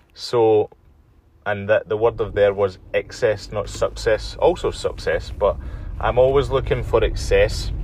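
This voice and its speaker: This man has a Glaswegian accent. He speaks at a fairly slow pace. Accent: Glaswegian Scottish. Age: 30s. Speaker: podcast host. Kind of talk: solo podcast monologue. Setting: outdoors, walking.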